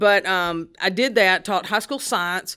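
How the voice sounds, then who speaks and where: In a very clean recording with a silent background, a woman with a fairly low pitch talks at a moderate pace in a bright, sharp tone. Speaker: STEM education director, retired teacher. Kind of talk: interview.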